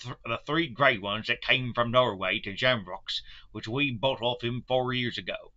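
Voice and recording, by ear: The text is read aloud in a natural voice. Its intonation holds fairly even.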